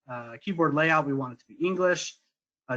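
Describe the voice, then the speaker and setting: Against a quiet background, a normal speaking voice comes through with ordinary pitch variation. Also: man. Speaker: software sales director presenting a demo. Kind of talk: webinar product demo. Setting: online webinar.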